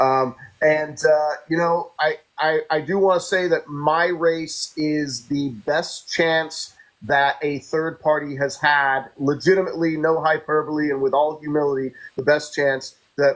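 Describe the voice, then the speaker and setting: A man talks in a plain, everyday voice at a fairly high pitch. His intonation is fairly even and his pace fairly slow. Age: 50s. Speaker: political candidate. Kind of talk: interview.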